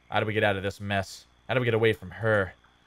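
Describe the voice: What we hear is plain reading aloud.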